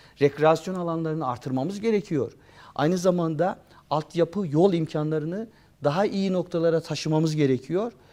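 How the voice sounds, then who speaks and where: Over a quiet background, a man speaks in a high pitch. His tone is dark and mellow. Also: ordinary pitch variation, moderate pace. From Turkey, Beyşehir (Konya province). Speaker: history professor. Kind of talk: interview.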